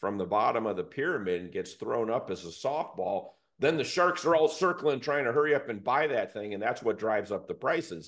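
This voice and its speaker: Against a quiet background, a man with an unremarkable speaking voice talks at a fairly quick pace with lively intonation. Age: 60s. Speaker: business advisor and investor. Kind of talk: casual business discussion.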